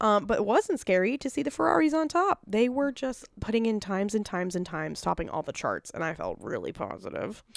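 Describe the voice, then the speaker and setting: A woman talks at a fairly quick pace with hardly any pauses. Her fairly high pitch swings very widely. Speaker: podcast co-host. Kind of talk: casual chat. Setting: recording in a room with co-host. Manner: casual, filler-heavy.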